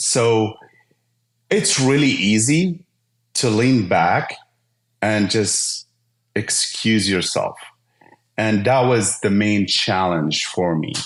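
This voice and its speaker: Speaking at a very slow pace with long, frequent pauses, this man has a slight Arabic accent, a fairly low pitch, very even loudness and lively intonation. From Syria. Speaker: IT business owner. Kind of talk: podcast interview.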